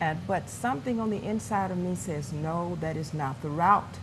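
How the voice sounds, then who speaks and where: A woman with a somewhat breathy voice and a fairly low pitch speaks at a fairly slow pace with ordinary pitch variation, with audible room echo. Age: 60s. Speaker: pastor. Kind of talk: testimony.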